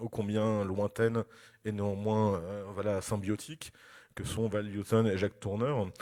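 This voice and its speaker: In a very clean recording with a silent background, a man talks at a fairly slow pace with monotone, flat intonation. His voice is fairly low, with a dark, mellow tone. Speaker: film critic and lecturer. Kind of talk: lecture. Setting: festival conference with audience. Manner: hesitant, many fillers.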